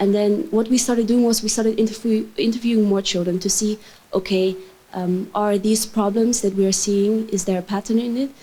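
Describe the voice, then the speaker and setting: A woman's somewhat breathy voice with a dark, mellow tone, fairly quick in pace, with fairly even intonation. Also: very even loudness. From Netherlands. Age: 20s. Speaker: youth advocate. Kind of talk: conference talk. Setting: stage with audience.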